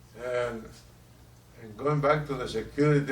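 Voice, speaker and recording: A man with a Puerto Rican accent, monotone and flat, at a fairly slow pace. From Puerto Rico. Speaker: war veteran. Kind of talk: interview answer.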